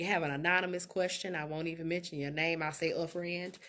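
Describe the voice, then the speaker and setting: A woman speaks with a bright, sharp tone at a fairly low pitch. Her intonation is monotone and flat. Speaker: life coach and relationship expert. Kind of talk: live stream talk.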